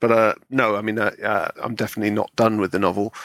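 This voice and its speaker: A man in a West Country accent at medium pitch, monotone and flat in intonation, on a very clean recording with a silent background. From Bristol, West Country, England. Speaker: author and critic. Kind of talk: casual interview.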